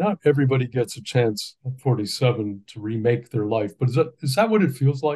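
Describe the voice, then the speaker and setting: A man talks at a fairly quick pace with hardly any pauses, his medium-pitched voice somewhat breathy. His tone is dark and mellow, and his intonation is lively. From Ontario, Canada. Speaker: journalist. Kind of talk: interview questions.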